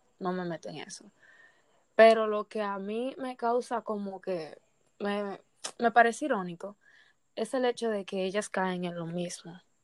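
On a very clean recording with a silent background, a woman talks at a fairly slow pace, her medium pitch showing ordinary variation. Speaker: podcast host. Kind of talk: casual chat.

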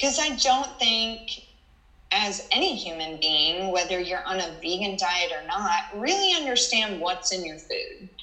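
Her intonation is lively, her pitch medium and her pace fairly slow. Audible room echo and noticeable background noise surround this woman's voice. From Texas (Houston). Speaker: nurse. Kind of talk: interview.

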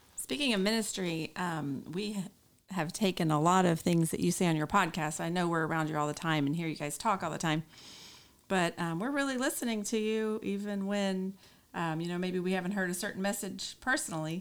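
A woman's normal speaking voice, medium in pitch, with ordinary pitch variation and a fairly quick pace. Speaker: guest, camp attendee. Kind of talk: casual chat.

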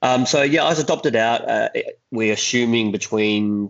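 A man in an Australian accent talks at a moderate pace with ordinary pitch variation. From Adelaide, South Australia. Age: 40s. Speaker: actor and children's author. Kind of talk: interview. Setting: remote call.

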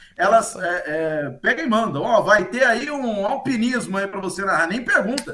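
The speaker talks at a moderate pace in a raised, projected voice with lively intonation and hardly any pauses over noticeable background noise. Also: man, high pitch for a man. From Marília, interior of São Paulo state, Brazil. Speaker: sports commentator. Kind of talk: casual chat. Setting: video call.

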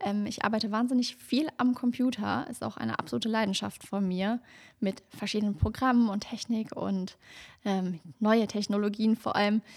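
Using an ordinary speaking voice, a woman with a fairly high pitch talks at a moderate pace with fairly even intonation. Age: 30s. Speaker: true crime podcaster. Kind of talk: casual chat; scripted narration.

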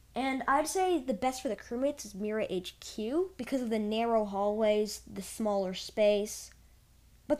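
On a very clean recording with a silent background, a woman talks at a moderate pace with lively intonation. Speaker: podcast host. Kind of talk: unscripted gaming tips monologue. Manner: halting, self-correcting.

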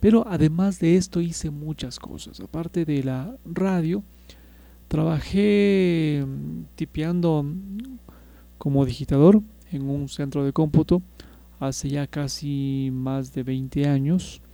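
In a dark, mellow tone, the voice moves at a very slow pace with long, frequent pauses and ordinary pitch variation. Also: man, fairly high pitch for a man. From Ecuador, Quito. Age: 40s. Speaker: radio operator. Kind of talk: casual podcast monologue.

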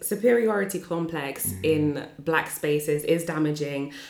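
The speech goes at a very slow pace with ordinary pitch variation, against noticeable background noise. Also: woman. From Northampton, England. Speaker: podcast host. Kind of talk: casual chat. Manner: animated, excitable.

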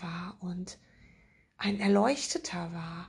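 Speaking at a very slow pace, a woman uses a medium pitch and a somewhat breathy voice. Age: 50s. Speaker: spiritual podcast host and author. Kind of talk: spiritual monologue.

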